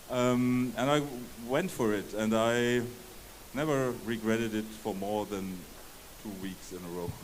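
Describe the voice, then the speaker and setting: Audible room echo surrounds a man with a medium-pitched voice and ordinary pitch variation. He talks at a fairly slow pace with long, frequent pauses. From Germany, Palatinate. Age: 60s. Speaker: game developer. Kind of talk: interview. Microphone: bad audio.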